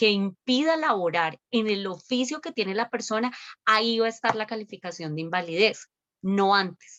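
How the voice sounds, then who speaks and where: A woman speaks at a moderate pace with a fairly high pitch and lively intonation, in a plain, everyday voice. The sound is dry and close, with no echo. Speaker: lawyer. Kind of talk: webinar talk.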